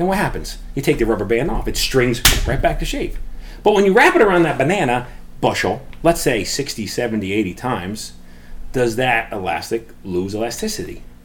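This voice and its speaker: Very wide pitch swings come at a moderate pace, with audible room echo. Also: man, medium pitch for a man. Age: 40s. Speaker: stand-up comedian. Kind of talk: stand-up comedy bits in a casual podcast chat.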